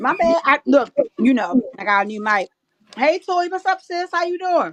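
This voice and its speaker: Loud and high-pitched, a woman speaks at a moderate pace with very wide pitch swings. The sound is dry and close, with no echo. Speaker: live stream panelist. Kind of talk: casual chat.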